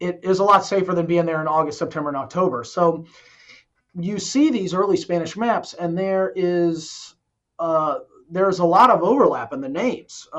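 This man has a high-pitched voice and an American accent. He talks at a moderate pace with ordinary pitch variation. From Southwest Florida. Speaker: history professor. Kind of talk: interview.

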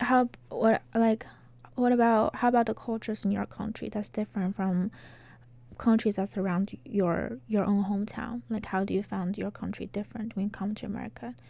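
With a Chinese accent, a woman talks at a medium pitch in a dark, mellow tone, her pitch varying in an ordinary way. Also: moderate pace. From China. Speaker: graduate student interviewer. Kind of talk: interview. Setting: recording booth. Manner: halting, rephrases questions.

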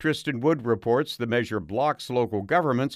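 Here a man talks in a plain, everyday voice at a medium pitch with ordinary pitch variation. The sound is dry and close with no echo, on a very clean recording with a silent background. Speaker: public radio news host. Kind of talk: news reading. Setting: studio.

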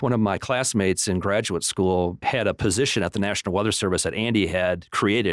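A man with an ordinary speaking voice talks at a fairly low pitch and fairly quick pace, with fairly even intonation, hardly any pauses and very even loudness. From Michigan, Flint. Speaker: meteorologist. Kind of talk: radio interview.

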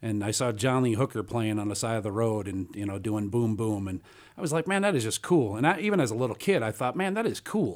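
In a Chicago accent, a man of medium pitch speaks very fast with lively intonation on a very clean recording with a silent background. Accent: Chicago-area American. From northern Illinois (Antioch). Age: 40s. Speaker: blues guitarist and bandleader. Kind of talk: interview conversation. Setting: radio studio.

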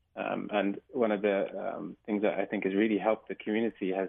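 A man's fairly low voice at a moderate pace, monotone with flat intonation. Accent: English. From England. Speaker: doctor. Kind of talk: radio interview.

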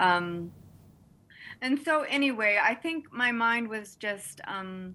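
A woman with an American accent, fairly high in pitch, at a very slow pace in a bright, sharp tone. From Texas. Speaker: essayist. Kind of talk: casual interview; reading aloud. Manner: halting.

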